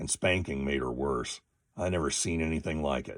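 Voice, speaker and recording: A man uses a put-on character voice that is raspy and very deep and low. He keeps a moderate pace. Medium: read story. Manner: hesitant, troubled.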